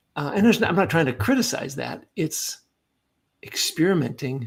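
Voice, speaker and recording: A man's fairly high-pitched voice with very wide pitch swings and vocal fry. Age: 60s. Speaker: leadership coach and retired Air Force officer. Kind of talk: podcast interview.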